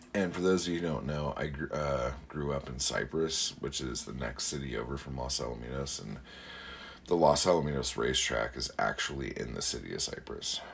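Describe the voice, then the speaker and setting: Noticeable background noise sits behind a man with a very deep, low pitch. He moves at a fairly quick pace with ordinary pitch variation. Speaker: podcast host and poet. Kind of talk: casual solo podcast monologue. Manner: rambling with many fillers.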